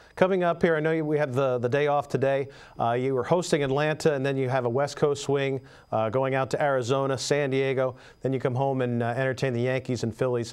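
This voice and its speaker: A man with an ordinary speaking voice talks at a fairly quick pace and fairly high pitch. The background is quiet. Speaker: TV sports talk show host. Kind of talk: sports talk interview questions.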